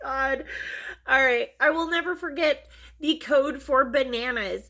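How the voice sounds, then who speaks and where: In a very clean recording with a silent background, a woman projects a raised, high, bright and sharp voice at a fairly slow pace with ordinary pitch variation. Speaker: vlogger. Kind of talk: casual chat.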